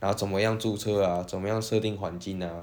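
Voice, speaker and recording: In a Taiwanese accent, a man with a fairly low voice talks at a moderate pace in a flat monotone. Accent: Taiwanese Mandarin. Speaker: podcast co-host. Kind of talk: casual chat.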